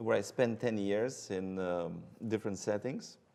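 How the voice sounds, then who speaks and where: A man with a Romanian accent at a moderate pace, with ordinary pitch variation. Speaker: hematologist-oncologist. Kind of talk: interview. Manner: hesitant, many fillers.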